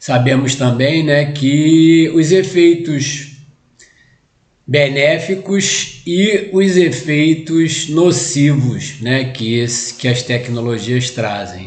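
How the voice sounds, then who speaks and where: A somewhat breathy man at a very slow pace with ordinary pitch variation, in audible room echo. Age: 60s. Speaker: spiritist lecturer. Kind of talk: lecture. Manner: halting, many fillers.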